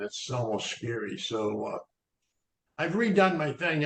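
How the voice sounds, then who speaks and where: The man's voice comes across as somewhat breathy. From Maine. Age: 70s. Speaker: sprout grower, health speaker. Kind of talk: webinar discussion. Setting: video call.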